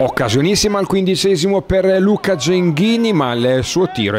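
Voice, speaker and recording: Through noticeable background noise, a man's high pitch makes very wide swings. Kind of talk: sports commentary, highlights voiceover.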